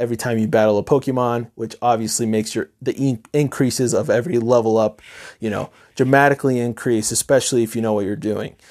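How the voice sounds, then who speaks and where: On a very clean recording with a silent background, a man with an American accent speaks at a medium pitch in a dark, mellow tone. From upstate New York. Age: 20s. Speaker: podcast host. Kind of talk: casual monologue.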